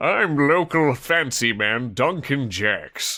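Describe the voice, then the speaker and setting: Putting on a character voice, a man speaks at a very slow pace in a fairly high pitch. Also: very clean recording, silent background. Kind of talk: posh, fancy.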